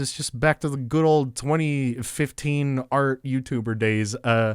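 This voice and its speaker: A man talks in a normal speaking voice, fairly high in pitch with ordinary pitch variation. The recording is very clean, with a silent background. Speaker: artist and YouTuber. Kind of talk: casual voiceover over drawing video. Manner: relaxed, laid-back.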